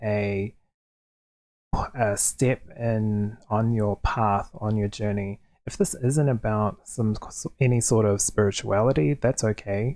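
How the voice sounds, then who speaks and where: A soft-spoken man with a fairly low pitch and a dark, mellow tone, at a very slow pace with ordinary pitch variation. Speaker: tarot card reader. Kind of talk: tarot reading to camera. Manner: quiet, soft-spoken.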